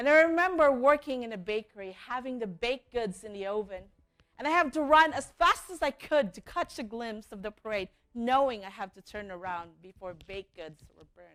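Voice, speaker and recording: A woman speaks at a fairly quick pace in a fairly high voice, her pitch swinging very widely. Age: young. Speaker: entrepreneur. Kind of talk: keynote speech.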